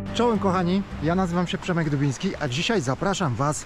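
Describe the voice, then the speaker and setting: A man with ordinary pitch variation and light background noise. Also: dry sound with no echo. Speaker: travel vlogger. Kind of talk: casual vlog chat. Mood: happy, moved. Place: forest. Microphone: phone near.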